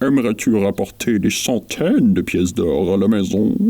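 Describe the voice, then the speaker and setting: A man performs a put-on character voice. It sits fairly low in pitch and moves at a moderate pace. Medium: read story. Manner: sly, smooth.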